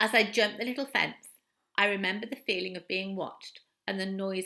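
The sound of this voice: The reading voice is unforced, and the background is quiet.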